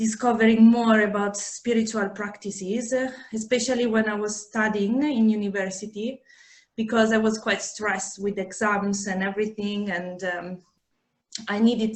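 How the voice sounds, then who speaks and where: A woman with an Italian accent speaks at a fairly high pitch in a somewhat breathy voice with monotone, flat intonation. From Italy. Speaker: yoga teacher and menstrual cycle therapist. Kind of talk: podcast interview. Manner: halting, many fillers.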